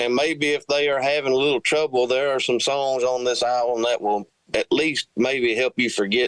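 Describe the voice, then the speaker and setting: This is a plain, everyday voice at a moderate pace with fairly even intonation. The sound is dry and close, with no echo. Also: man. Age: 40s. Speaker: country singer-songwriter. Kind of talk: interview.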